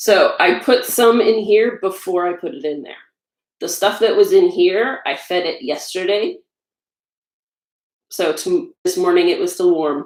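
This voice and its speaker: The speech moves at a fairly slow pace with long, frequent pauses. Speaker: home baker and blogger. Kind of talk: casual cooking livestream. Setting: home kitchen. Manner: loud.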